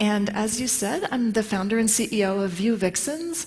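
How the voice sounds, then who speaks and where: Medium pitch from a woman, ordinary pitch variation, noticeable background noise behind. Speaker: tech conference speaker. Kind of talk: conference talk. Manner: many filler words.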